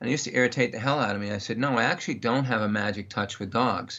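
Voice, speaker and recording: A man is the one talking. The rise and fall of his pitch is ordinary. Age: 60s. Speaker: dog trainer. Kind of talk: interview.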